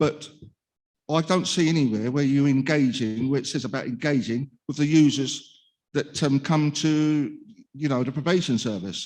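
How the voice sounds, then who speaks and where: A man with a Cockney accent and ordinary pitch variation. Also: fairly high pitch for a man, moderate pace. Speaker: speaker with lived experience of probation. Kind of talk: conference talk. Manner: halting.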